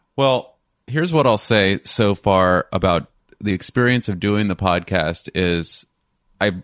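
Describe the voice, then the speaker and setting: The sound is dry and close with no echo, as a man with a fairly low pitch talks at a moderate pace. He has an unremarkable speaking voice. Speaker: real estate agent and podcast host. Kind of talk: casual podcast chat.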